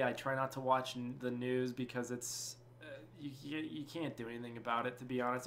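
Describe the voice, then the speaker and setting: Speaking very fast with an American accent, a man holds a medium pitch. His intonation is flat and monotone, and background noise is noticeable. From Colorado. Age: 20s. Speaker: gaming YouTuber. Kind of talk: casual vlog monologue. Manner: hesitant, repeats words; rambling, unscripted.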